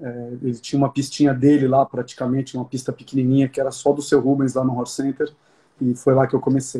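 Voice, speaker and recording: At a very fast pace, a man talks in a dark, mellow, somewhat breathy tone with monotone, flat intonation. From Brazil. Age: 30s. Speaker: show jumping rider; interviewee. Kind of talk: interview. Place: home room. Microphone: phone near.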